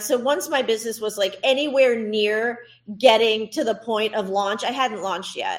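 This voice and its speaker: A woman with an unremarkable speaking voice, fairly high pitch, ordinary pitch variation and moderate pace, on a very clean recording with a silent background. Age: 40s. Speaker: swimwear entrepreneur. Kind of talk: interview.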